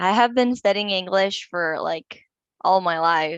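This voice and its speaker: In a Portuguese accent, a woman talks at a medium pitch with ordinary pitch variation. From Brazil, São Paulo. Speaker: English learner. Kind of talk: interview.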